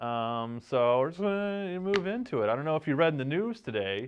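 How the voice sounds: Speaking at a fairly quick pace, a man uses a fairly high pitch with big pitch swings and a clear, smooth tone.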